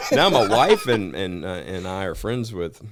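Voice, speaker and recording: Here a man speaks in a very deep, low voice with ordinary pitch variation. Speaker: bounty hunter. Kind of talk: casual chat. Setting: studio. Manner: casual, filler-heavy.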